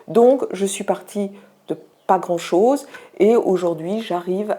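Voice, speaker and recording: The woman's voice shows ordinary pitch variation. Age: 60s. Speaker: student cellist giving a testimonial. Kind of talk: testimony. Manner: hesitant with frequent fillers.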